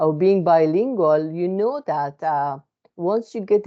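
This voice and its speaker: A woman with a non-native accent talks fairly slowly. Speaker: psychotherapist. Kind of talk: informal educational talk. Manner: hesitant with many fillers.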